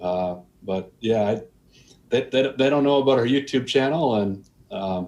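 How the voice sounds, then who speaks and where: A man with an American accent speaks at a medium pitch with ordinary pitch variation. He leaves long, frequent pauses. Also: moderate pace. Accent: Wisconsin accent, trying to lose it. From US Midwest, Milwaukee, Wisconsin. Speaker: boating YouTuber. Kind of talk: casual interview chat.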